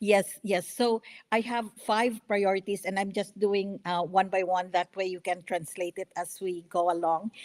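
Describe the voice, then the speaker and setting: A woman with a Filipino accent, fairly even intonation and hardly any pauses. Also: medium pitch for a woman, moderate pace. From Philippines. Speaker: congressional candidate. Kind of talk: radio interview. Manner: halting, many fillers.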